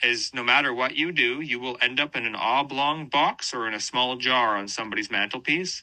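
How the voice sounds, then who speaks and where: A man speaks in a bright, sharp tone with ordinary pitch variation against a quiet background. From western Canada. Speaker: band vocalist and guitarist. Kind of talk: interview. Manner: animated, casual with many fillers.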